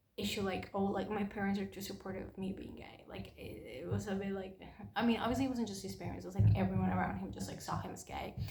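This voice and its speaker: Talking very fast with a non-native accent, a woman's loudness swings widely amid noticeable background noise and audible room echo. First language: not English. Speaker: book reviewer. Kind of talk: casual chat. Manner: halting.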